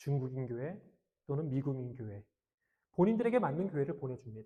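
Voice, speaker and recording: A man speaks with lively intonation at a fairly quick pace. His fairly high voice is somewhat breathy, with a dark, mellow tone. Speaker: pastor. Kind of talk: sermon.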